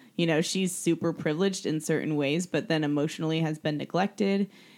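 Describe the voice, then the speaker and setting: Recorded very cleanly against a silent background, a woman with a normal speaking voice talks at a fairly low pitch with fairly even intonation. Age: 30s. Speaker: podcast co-host. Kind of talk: casual chat.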